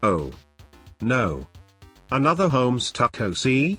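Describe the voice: Faint music plays behind a man's cartoonish character voice at medium pitch, fairly bright in tone with a slightly husky edge, big pitch swings and a slow pace.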